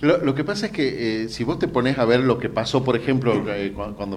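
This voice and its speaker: A man's lively intonation with audible room echo. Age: 50s. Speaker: journalist. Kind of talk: interview. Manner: hesitant, many fillers.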